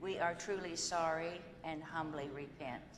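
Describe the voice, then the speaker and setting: Against noticeable background noise, a woman with a fairly low voice talks at a fairly slow pace with fairly even intonation. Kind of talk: liturgical prayer. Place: church.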